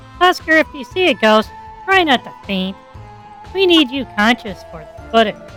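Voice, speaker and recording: Over clear background music, a woman in a put-on character voice speaks at a high pitch and a moderate pace, with long, frequent pauses. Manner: sarcastic.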